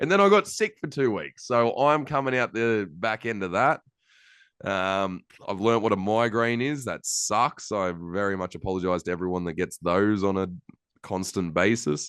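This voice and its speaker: A man with an Australian accent and a fairly low pitch, against a quiet background. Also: ordinary pitch variation, moderate pace. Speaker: podcast host. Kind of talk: casual chat.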